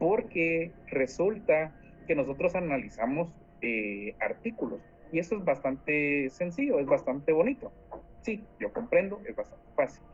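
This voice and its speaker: With very wide pitch swings, a man talks high and at a fairly slow pace. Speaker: law student tutor leading a class. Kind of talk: online class lecture. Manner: animated.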